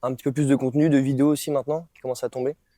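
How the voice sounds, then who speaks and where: A man at medium pitch speaks very fast in a monotone, flat delivery with a dark, mellow tone. The recording is very clean and dry, close with no echo, over a silent background. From France, Brittany (Lorient). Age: 20s. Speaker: mobility and rehabilitation coach. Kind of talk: casual round-table discussion. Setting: studio. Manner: hesitant, many fillers.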